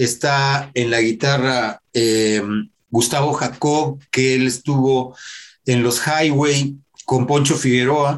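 A man speaks at medium pitch with a very slow pace. His intonation is monotone and flat, his loudness very even. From Mexico City. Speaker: rock musician. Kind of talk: interview.

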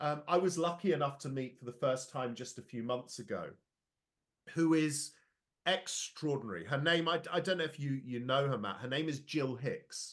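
In a quiet background, a man speaks at a moderate pace, his fairly high pitch showing ordinary variation. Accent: English Midlands. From London. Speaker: education and leadership speaker. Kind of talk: casual interview.

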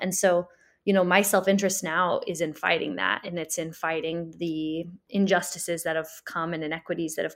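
A woman speaks at a moderate pace in a normal speaking voice, her pitch fairly low. Her intonation stays fairly even over a very clean recording with a silent background. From US Midwest, Springfield, Illinois. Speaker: community organizer. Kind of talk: interview conversation.

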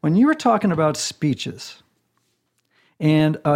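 A man talks in a normal speaking voice at a moderate pace. His pitch is fairly high, with ordinary pitch variation. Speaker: podcast host and author. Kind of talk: casual interview chat. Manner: playful, frequent fillers.

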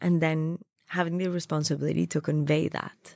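A woman speaks at a moderate pace with a slight Colombian accent and a fairly low pitch. The recording is very clean, with a silent background. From Colombia, Bogota. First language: Spanish. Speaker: food stylist. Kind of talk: interview conversation.

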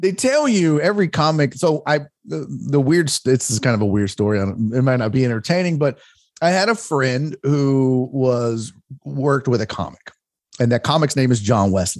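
At a moderate pace, a man speaks with an unremarkable speaking voice at a medium pitch. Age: 40s. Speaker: stand-up comedian and sports radio host. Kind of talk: casual interview chat. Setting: remote call.

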